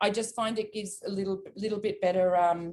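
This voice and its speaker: In an Australian accent, a woman with a medium-pitched voice and ordinary pitch variation talks at a fairly quick pace. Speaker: cooking teacher. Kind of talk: cooking class. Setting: video call.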